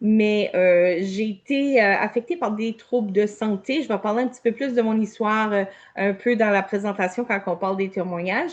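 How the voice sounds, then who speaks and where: A woman with a fairly high voice talks at a moderate pace, her pitch varying in an ordinary way. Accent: Acadian. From Canada, New Brunswick (Acadian). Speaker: health product consultant. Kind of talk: online product presentation.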